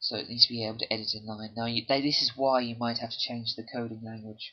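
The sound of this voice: A man's fast pace with little pitch movement. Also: medium pitch for a man.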